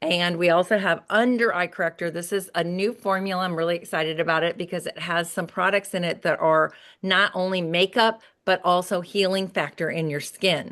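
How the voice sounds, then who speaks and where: Speaking at a fairly quick pace, a woman with an unremarkable speaking voice and a fairly low pitch keeps her intonation fairly even against a quiet background. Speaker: beauty sales director. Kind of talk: product presentation.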